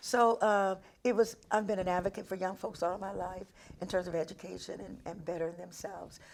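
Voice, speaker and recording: A woman's voice with vocal fry, fairly even intonation, big swings in loudness and a fairly quick pace. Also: medium pitch for a woman. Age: 70s. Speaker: school board president. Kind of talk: interview. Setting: studio. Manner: halting.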